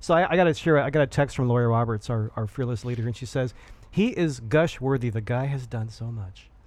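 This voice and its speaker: A man with a plain, everyday voice, medium in pitch, fairly quick, with ordinary pitch variation. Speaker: radio host. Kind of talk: radio interview. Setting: studio.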